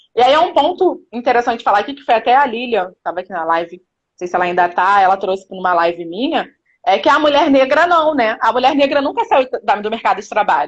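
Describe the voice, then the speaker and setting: Barely pausing, a woman rushes along at a very fast pace, with very wide pitch swings and big swings in loudness. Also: fairly high pitch for a woman. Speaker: women's empowerment speaker. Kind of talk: live stream interview. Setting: live stream.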